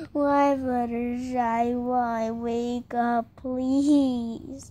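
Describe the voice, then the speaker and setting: A put-on character voice speaks at a very slow pace. The intonation is monotone and flat. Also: woman, high pitch for a woman. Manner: tearful, pleading.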